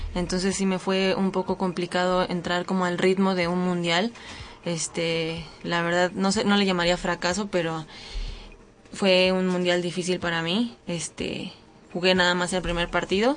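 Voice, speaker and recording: A woman talks at a fairly slow pace and a medium pitch. Her intonation is monotone and flat. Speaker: university footballer. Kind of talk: interview.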